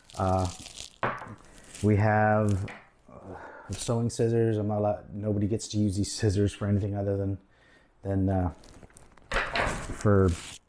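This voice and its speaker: Against noticeable background noise, a man talks fairly slowly in a fairly low pitch with monotone, flat intonation. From Nova Scotia, Canada. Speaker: motorcycle restoration YouTuber. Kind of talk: casual tutorial. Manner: halting, many fillers. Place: home room. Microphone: camera far.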